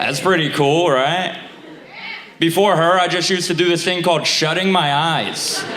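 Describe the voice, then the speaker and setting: In a New York accent, a man speaks at a high pitch and moderate pace with monotone, flat intonation and very even loudness, amid audible room echo and noticeable background noise. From Staten Island, New York. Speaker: stand-up comedian. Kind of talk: stand-up. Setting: stage with audience. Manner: halting.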